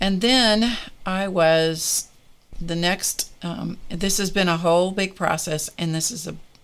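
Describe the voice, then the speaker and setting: A woman's fairly low voice at a very slow pace. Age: 70s. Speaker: art and crafting livestream host. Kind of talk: casual chat. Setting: live stream. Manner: conversational, with fillers.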